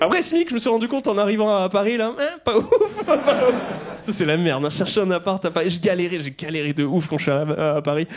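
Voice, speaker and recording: Lively intonation runs through a man's fairly quick speech. Noticeable background noise is present behind him. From southwest France, near Toulouse. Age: 30s. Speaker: stand-up comedian. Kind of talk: stand-up. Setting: stage with audience. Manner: casual, conversational.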